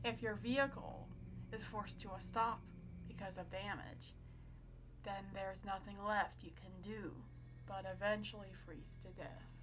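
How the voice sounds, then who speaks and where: A woman whispers at a fairly slow pace with music in the background. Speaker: creepypasta narrator. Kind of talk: horror story narration. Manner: whispering, creepy.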